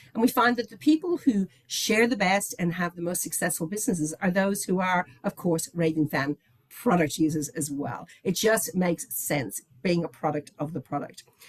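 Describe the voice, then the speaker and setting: A woman with an Irish accent speaks at a moderate pace and a fairly low pitch, her tone animated and intonation lively, with hardly any pauses and a dry, close sound with no echo. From Ireland, Dublin. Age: 60s. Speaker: company executive. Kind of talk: sales pitch.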